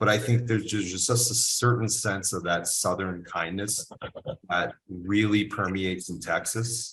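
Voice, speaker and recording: A man with an American accent has a normal speaking voice at a fairly low pitch. He talks at a fairly slow pace with fairly even intonation. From US South, military bases incl. Biloxi. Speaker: cigar company owner. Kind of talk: casual chat.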